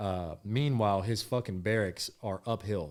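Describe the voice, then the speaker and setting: A man's fairly low voice with an American accent and ordinary pitch variation, on a very clean recording over a silent background. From Texas. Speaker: podcast co-host. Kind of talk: casual chat. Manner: animated.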